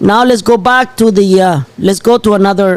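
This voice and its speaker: Over noticeable background noise, the speaker talks at a fairly slow pace with a Spanish accent and ordinary pitch variation. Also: man. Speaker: channel host. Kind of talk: live show commentary. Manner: animated.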